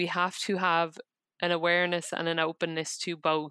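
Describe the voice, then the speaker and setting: Speaking at a moderate pace with an Irish accent, a woman has a fairly low voice with a bright, sharp tone. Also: dry, close sound with no echo, very clean recording, silent background. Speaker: psychotherapist. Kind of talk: interview.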